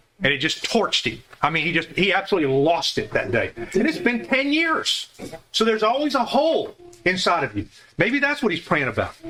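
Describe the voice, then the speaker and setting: Amid noticeable background noise, a man with a high pitch talks in a raised, projected voice at a fairly quick pace with very wide pitch swings. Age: 70s. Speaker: Bible study teacher. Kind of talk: Bible study class discussion. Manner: halting, many repeated words.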